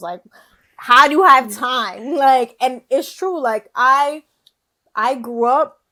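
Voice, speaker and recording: An animated woman with a Bronx accent, a bright, sharp tone, and lively intonation. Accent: New York, Bronx. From New York, the Bronx. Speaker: podcast guest, content creator. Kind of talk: casual chat.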